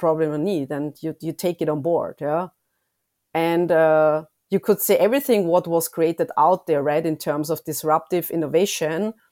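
In a very clean recording with a silent background, a woman's dark, mellow tone sits at a fairly low pitch, the sound dry and close with no echo. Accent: German. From Austria. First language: German. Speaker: consumer insights lead. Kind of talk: interview.

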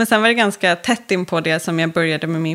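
A woman's fairly low pitch with ordinary pitch variation. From Stockholm, Sweden. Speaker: entrepreneur and magazine founder. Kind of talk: interview. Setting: podcast studio.

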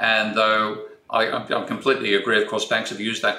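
A man with an Australian accent talks in a room with audible echo. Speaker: economics professor. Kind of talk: interview.

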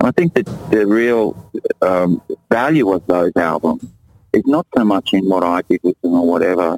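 Here a man with an Australian accent speaks at a moderate pace and fairly low pitch, with lively intonation. His loudness stays very even, and the sound is dry and close with no echo. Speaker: musician and visual artist. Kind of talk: interview.

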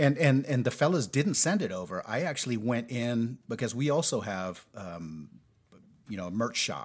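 A man with an American accent talks at a moderate pace and medium pitch, with very wide pitch swings and vocal fry. The recording is very clean, the background silent. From United States. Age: 50s. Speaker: podcast co-host, expat. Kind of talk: casual chat. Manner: halting, repeats words.

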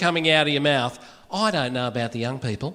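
A man is speaking. He has an Australian accent. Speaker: radio broadcaster and musician. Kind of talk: live comedy panel. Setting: stage with audience.

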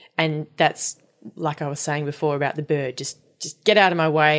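A woman with an Australian accent speaks at a moderate pace in a very deep, low voice against a quiet background. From Australia, Perth. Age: 30s. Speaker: folk singer and period educator. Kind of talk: casual interview. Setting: at home in a loft.

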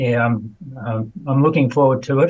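A man talks at a moderate pace in a flat monotone. His voice is somewhat breathy. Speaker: person living with Parkinson's. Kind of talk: interview. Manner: halting, many fillers.

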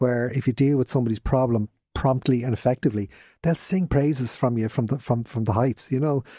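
Dark, mellow tones from a medium-pitched man in a Dublin accent, fairly quick, on a very clean recording with a silent background and a dry, close sound with no echo. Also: ordinary pitch variation. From Dublin, Ireland. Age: 50s. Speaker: business owner. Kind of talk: casual interview.

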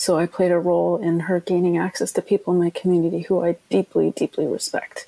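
A woman in a Canadian Arctic accent at a very fast pace, hardly any pauses, very even loudness, and a dry, close sound with no echo. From Nunavut, Canadian Arctic (Iqaluit). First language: Inuktitut. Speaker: documentary filmmaker. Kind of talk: interview. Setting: remote from home.

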